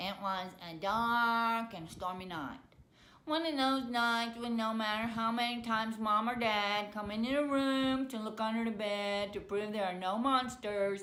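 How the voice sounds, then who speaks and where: Putting on a nasal character voice, a woman speaks at a moderate pace with a fairly high pitch and audible echo. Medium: read story. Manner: monotone, droning.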